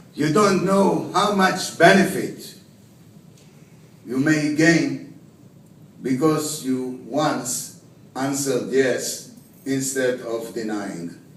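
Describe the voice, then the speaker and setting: A man's fairly high voice with lively intonation, a very slow pace, long, frequent pauses and audible room echo. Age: 60s. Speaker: award recipient. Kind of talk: acceptance speech.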